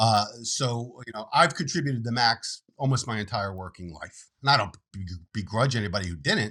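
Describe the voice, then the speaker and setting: On a very clean recording with a silent background, a man with an ordinary speaking voice and medium pitch uses lively intonation and big swings in loudness. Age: 60s. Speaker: financial planner. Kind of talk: interview.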